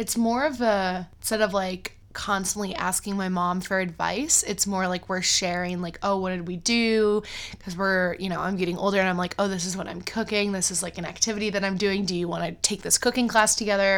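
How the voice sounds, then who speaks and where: A woman's ordinary speaking voice, medium in pitch, with an American accent, fairly even intonation and a fairly quick pace. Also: hardly any pauses. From US Midwest, Cleveland, Ohio. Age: 20s. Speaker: middle school teacher. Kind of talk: casual chat.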